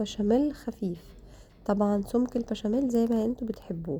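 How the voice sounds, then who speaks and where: A somewhat breathy voice with a dark, mellow tone. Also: woman. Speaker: cooking vlogger. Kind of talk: cooking tutorial.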